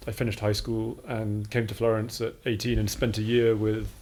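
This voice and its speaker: With a British accent, a man speaks at medium pitch and a moderate pace, with hardly any pauses. His intonation is monotone and flat. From England. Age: 40s. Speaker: art academy director. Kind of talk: casual interview.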